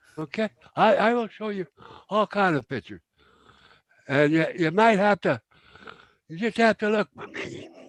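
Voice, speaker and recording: A man with a high pitch speaks at a moderate pace, his pitch varying in an ordinary way. His loudness swings widely, and he takes long, frequent pauses. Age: 70s. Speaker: gold prospector. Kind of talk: casual chat.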